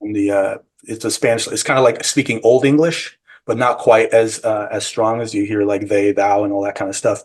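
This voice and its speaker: A man with a Californian accent, medium in pitch, fairly quick in pace, with fairly even intonation. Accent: General American, California. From San Francisco, US. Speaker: psychedelic retreat guide and bakery owner. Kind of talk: interview. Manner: halting.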